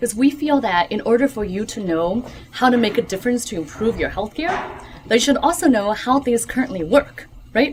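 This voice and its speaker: Lively intonation marks this woman's fairly high voice at a fairly quick pace. Background noise is noticeable. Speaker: physician and author. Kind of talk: book talk Q&A. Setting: bookshop audience.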